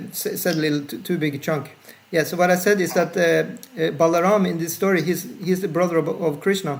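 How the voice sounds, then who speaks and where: A man speaks at a high pitch and a fairly quick pace, his intonation fairly even. Audible room echo and noticeable background noise surround him. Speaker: spiritual teacher. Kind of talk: lecture with Q&A discussion. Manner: fast; uneven volume. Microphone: bad Wi-Fi, audio cuts out.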